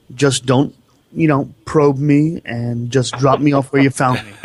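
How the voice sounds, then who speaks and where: Somewhat breathy and medium in pitch, a man talks at a very slow pace with fairly even intonation. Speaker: radio co-host. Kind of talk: talk radio conversation.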